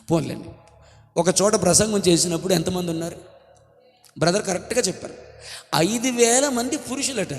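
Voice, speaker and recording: Amid noticeable background noise, a man shouts loudly at a high pitch with lively intonation. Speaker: pastor. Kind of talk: sermon. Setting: church with congregation. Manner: loud, shouting.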